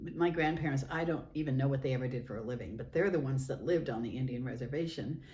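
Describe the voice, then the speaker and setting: A woman's very fast, animated delivery in an American accent, with audible room echo. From California. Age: 80s+. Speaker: oral history interviewee, author. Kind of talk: oral history interview. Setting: historical society building.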